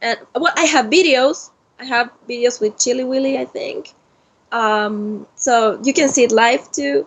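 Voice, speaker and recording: A woman's high voice in a Spanish accent, with ordinary pitch variation and a fairly slow pace. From Argentina. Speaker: cosplayer. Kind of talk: interview. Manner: halting.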